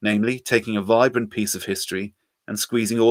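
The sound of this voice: An unforced reading voice with fairly even intonation comes through against a quiet background.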